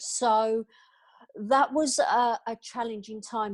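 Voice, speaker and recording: A woman's fairly high voice with a British accent and fairly even intonation. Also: dry, close sound with no echo. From England. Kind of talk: interview.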